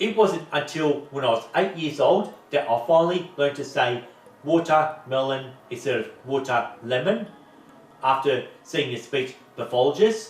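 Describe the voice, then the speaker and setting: Lively intonation from a fairly high-pitched man with an Australian accent. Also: moderate pace. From Melbourne, Australia. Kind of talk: casual talk to camera.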